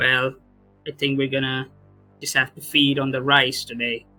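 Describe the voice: A man's robotic, put-on character voice at a medium pitch, moderate in pace and flat in a monotone, with faint music in the background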